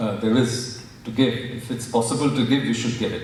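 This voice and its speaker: A man's voice in a Marathi accent, with audible room echo and noticeable background noise. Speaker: professor. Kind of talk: public talk. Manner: halting, many fillers.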